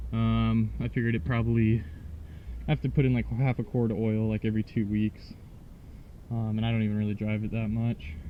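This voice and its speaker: A man's fairly low voice at a fairly quick pace, fairly even in intonation, with long, frequent pauses. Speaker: DIY car repair vlogger. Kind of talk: tutorial. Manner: soft-spoken; hesitant, many fillers.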